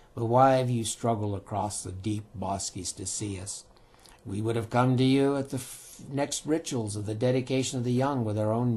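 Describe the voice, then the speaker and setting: A man uses a put-on character voice at a medium pitch. It sounds raspy and moves at a moderate pace. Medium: read story. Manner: slow, dignified.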